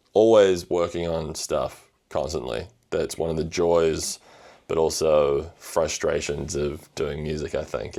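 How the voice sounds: A man speaks at an extremely low pitch with vocal fry. His tone is dark and mellow. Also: fairly even intonation, fairly slow pace.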